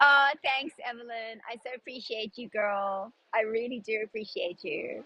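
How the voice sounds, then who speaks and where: A woman with an American accent talks at a moderate pace and fairly high pitch with ordinary pitch variation. Her loudness rises and falls in big swings. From South Africa. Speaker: personal stylist and clothing seller. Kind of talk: live-stream sales chat. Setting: outdoors in a busy park. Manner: animated.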